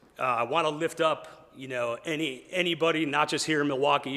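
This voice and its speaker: Here a man speaks with fairly even intonation. His tone is bright and sharp. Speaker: prayer leader at business fellowship. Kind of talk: public prayer. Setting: meeting hall with audience and microphone.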